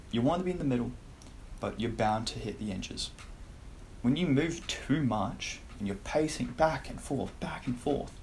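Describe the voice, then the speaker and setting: A man at a medium pitch talks at a moderate pace with lively intonation, vocal fry and long, frequent pauses, and the room echo is audible. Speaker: self-improvement youtuber. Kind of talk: casual tier-list commentary. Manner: casual.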